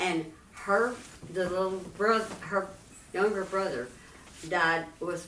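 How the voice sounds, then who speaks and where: With a Texan accent, a woman speaks at a fairly slow pace and medium pitch, with ordinary pitch variation over noticeable background noise. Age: 80s+. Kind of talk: interview answer.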